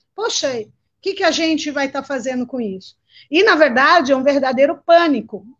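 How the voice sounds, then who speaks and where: High female pitch, varied in an ordinary way. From Ceará, northeastern Brazil. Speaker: community leader. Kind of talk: panel talk.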